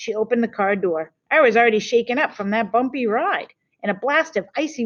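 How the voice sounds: Quiet surroundings and a natural reading voice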